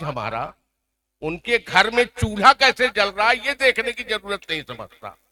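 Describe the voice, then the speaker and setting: The voice is raised and projected. The sound is dry and close, with no echo. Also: man. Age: 70s. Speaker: senior journalist. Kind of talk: award ceremony speech.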